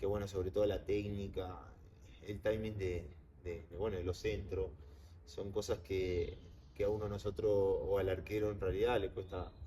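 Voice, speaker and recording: In a Uruguayan accent, a man speaks at a moderate pace with a fairly low pitch and fairly even intonation, amid audible room echo and noticeable background noise. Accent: Uruguayan Spanish (rioplatense). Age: 20s. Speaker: professional goalkeeper. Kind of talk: interview. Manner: halting, many fillers.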